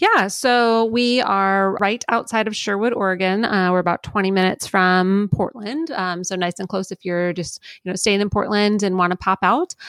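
A woman talks at a moderate pace in a plain, everyday voice, medium in pitch. Her intonation stays fairly even, and the recording is very clean with a silent background. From Florida. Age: 30s. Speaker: winery tasting room associate. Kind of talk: interview, casual chat.

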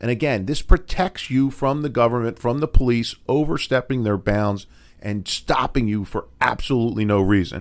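A man speaks at a moderate pace in an American accent, with lively intonation. It is an unremarkable speaking voice. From Philadelphia. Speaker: defense attorney, podcast co-host. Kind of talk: legal explainer podcast chat.

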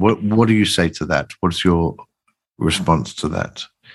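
This man has a plain, everyday voice. His pitch is fairly low, with ordinary variation. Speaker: podcast host. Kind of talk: podcast intro and interview questions.

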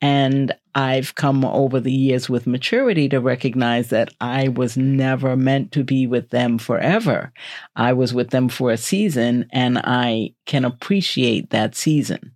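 With a New York accent, a woman speaks at a very deep, low pitch and a very even loudness. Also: ordinary pitch variation, fairly slow pace. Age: 60s. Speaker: podcast co-host. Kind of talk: casual chat. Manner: cautious.

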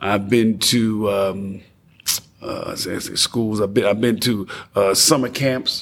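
There is noticeable background noise as a man with an American accent and a fairly low voice speaks at a very slow pace. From New Jersey (Passaic, urban). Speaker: DJ and entrepreneur. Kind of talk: casual interview. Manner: energetic.

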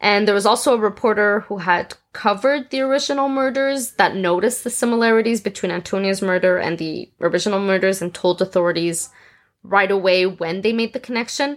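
Speaking at a fairly quick pace with ordinary pitch variation, a woman uses an unremarkable speaking voice on a very clean recording against a silent background. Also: medium pitch for a woman. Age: 20s. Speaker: true crime podcast host. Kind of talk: reading aloud; casual chat.

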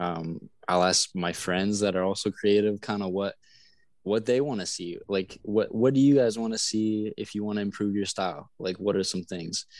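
A man speaks in a normal speaking voice at a fairly low pitch, with ordinary pitch variation and a moderate pace. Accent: Canadian. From Canada, Manitoba (south of Winnipeg). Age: 20s. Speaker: social media content creator. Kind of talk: casual interview chat. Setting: video call. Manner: relaxed, laid-back.

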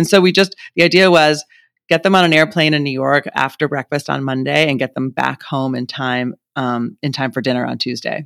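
A man with an unremarkable speaking voice talks at a fairly quick pace and fairly high pitch, with ordinary pitch variation. The recording is very clean with a silent background, and the sound is dry and close with no echo. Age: 50s. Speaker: former magazine editor turned women's health founder. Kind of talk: interview.

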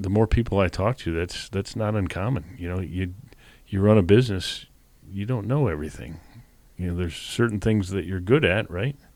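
Here a man talks at a fairly quick pace in a plain, everyday voice. His pitch sits fairly low with ordinary variation. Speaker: podcast host interviewer. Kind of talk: interview conversation.

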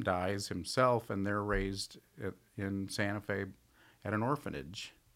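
A man with an American accent has an ordinary speaking voice, a fairly low pitch and fairly even intonation. The recording is very clean, with a silent background. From Tucson, Arizona. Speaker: silversmith. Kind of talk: casual chat.

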